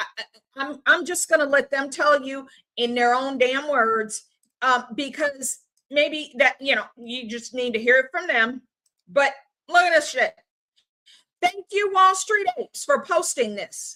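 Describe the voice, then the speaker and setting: This woman's high-pitched voice is raised and projected, with a bright, sharp tone, lively intonation and an animated delivery. She talks at a fairly slow pace, leaving long, frequent pauses. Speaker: political commentary streamer. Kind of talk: live stream rant. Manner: stuttering.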